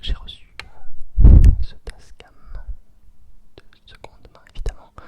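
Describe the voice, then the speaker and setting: A man whispering at a fairly slow pace. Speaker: ASMR creator. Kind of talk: ASMR whispered reflections. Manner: whispered.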